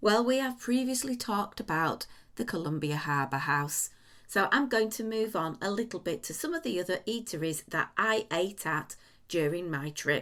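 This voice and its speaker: On a very clean recording with a silent background, a woman with a medium pitch speaks at a moderate pace using very wide pitch swings. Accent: English. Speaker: podcast host. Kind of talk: casual chat.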